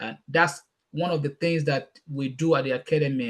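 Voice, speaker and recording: A somewhat breathy man speaks at a moderate pace in a fairly high pitch, with ordinary pitch variation. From Nigeria. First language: Yoruba. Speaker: youth mentor and speaker. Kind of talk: casual chat.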